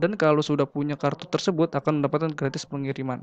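A man talks at a moderate pace in a plain, everyday voice with a fairly high pitch. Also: dry sound with no echo. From Indonesia. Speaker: university student presenting a business idea; presenter. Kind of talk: business pitch presentation. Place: home room. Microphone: webcam.

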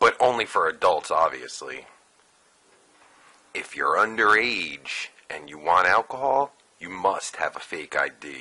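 A man is speaking. He goes at a fairly slow pace. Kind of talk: comedic satirical voice-over narration. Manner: crude, sarcastic.

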